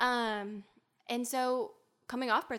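A woman with a Southern US accent is heard in a very clean recording against a silent background. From US South, Alabama. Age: 20s. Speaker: health and wellness guest. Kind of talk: casual chat. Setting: in-person studio.

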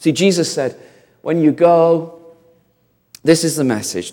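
A man with a northern English accent speaks at a fairly slow pace in a dark, mellow tone. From northern England, industrial town. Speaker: visiting preacher. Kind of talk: sermon.

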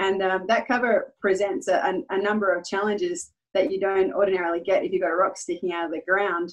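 Talking at a fairly quick pace with hardly any pauses, a woman with an Australian accent uses ordinary pitch variation. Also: medium pitch for a woman. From Western Australia, Perth. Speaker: geologist and mining company CEO. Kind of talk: interview.

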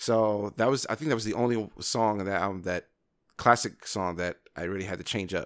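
A man with an American accent talks at a fairly quick pace in an ordinary speaking voice, fairly low in pitch with ordinary variation. The recording is very clean, with a silent background. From Brooklyn, New York. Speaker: singer and podcast co-host. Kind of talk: casual chat.

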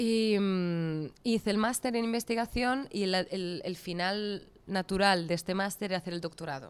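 This woman has a normal speaking voice at a medium pitch with ordinary pitch variation. She goes at a fairly slow pace with hardly any pauses. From Catalonia, Spain. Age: 30s. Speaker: coffee business founder. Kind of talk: interview conversation.

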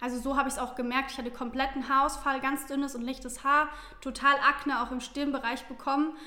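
A woman talks very fast in a high, raised, projected voice with a monotone, flat delivery. Noticeable background noise sits behind her. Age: 20s. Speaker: social media influencer. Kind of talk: casual chat.

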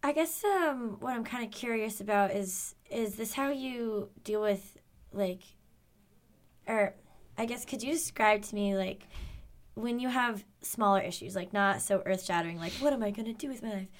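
Here is a woman with a normal speaking voice and fairly high pitch. She talks at a moderate pace with ordinary pitch variation. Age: 20s. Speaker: podcast guest, recent graduate. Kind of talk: casual interview chat. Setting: studio.

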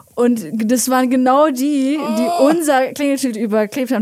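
A woman's voice with ordinary pitch variation against noticeable background noise. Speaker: podcast host guest. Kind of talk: casual chat. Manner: soft-spoken. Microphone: too far from the mic.

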